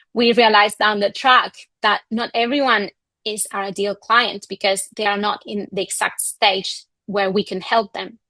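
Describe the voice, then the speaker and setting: Against a quiet background, a woman with a Spanish accent speaks at a medium pitch in a bright, sharp tone with monotone, flat intonation and a dry, close sound with no echo. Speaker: communications coach. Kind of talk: online masterclass presentation.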